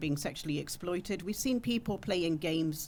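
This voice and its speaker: A British accent at a moderate pace, on a very clean recording with a silent background. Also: woman. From UK. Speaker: women's rights campaigner. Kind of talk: panel talk. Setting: conference panel with audience.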